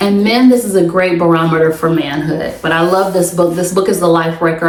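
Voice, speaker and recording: A fairly low-pitched woman's voice amid noticeable background noise and audible room echo. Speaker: podcast host. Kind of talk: solo podcast monologue.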